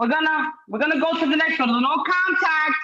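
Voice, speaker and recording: At a moderate pace, a woman uses a raised, projected voice, animated in tone and extremely high in pitch. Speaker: certified life coach. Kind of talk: motivational talk. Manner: loud.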